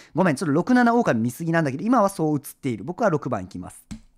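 The voice makes very wide pitch swings. The sound is dry and close with no echo. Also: man. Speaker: streamer playing werewolf game. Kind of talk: live game stream commentary. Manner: jokey, laughs a lot.

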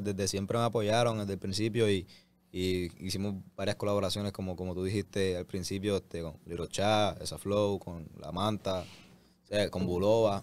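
A man with a Puerto Rican accent speaks at a moderate pace and fairly low pitch, the sound dry with no echo. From Puerto Rico. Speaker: reggaeton artist. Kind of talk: interview. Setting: studio. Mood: pleased, relaxed. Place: studio. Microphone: studio mic.

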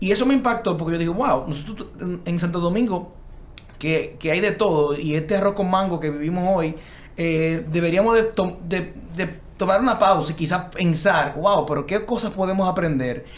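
At a moderate pace, a man talks with a high pitch and ordinary pitch variation. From Dominican Republic. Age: younger than the other architects. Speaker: architect, panel guest; guest. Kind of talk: panel discussion. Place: studio. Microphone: studio mic.

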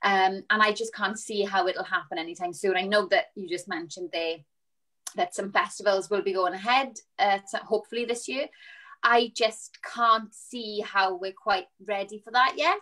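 With a south Wales accent, a woman speaks at a moderate pace in a bright, sharp tone, with ordinary pitch variation against a quiet background. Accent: south Wales (Valleys). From Wales, Rhondda. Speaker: musical theatre performer. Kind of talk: panel discussion. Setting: video call. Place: home room. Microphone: video call.

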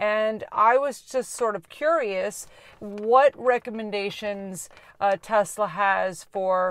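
A woman speaks at a very slow pace in a dry sound with no echo. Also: ordinary pitch variation. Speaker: channel host. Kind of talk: casual vlog chat. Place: car. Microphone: phone near.

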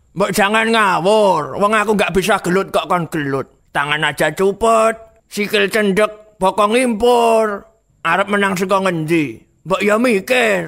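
A man does a put-on character voice at a high pitch and a fairly slow pace. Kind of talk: comic Javanese banter. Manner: whiny, cheeky, reluctant.

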